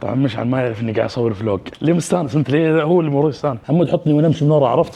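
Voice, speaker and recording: A man talks at a very fast pace. His voice has a medium pitch and a dark, mellow tone. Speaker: vlogger. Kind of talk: casual vlog chat. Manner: loud.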